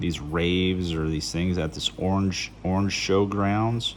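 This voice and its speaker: Here a man talks with a very deep, low pitch. His pace is fairly slow and his intonation fairly even. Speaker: gun hobbyist. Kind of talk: tutorial. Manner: casual, halting.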